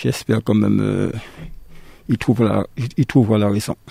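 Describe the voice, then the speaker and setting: At a very slow pace, a man talks with a dry, close sound with no echo. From Martinique. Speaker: political party member. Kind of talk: radio panel discussion.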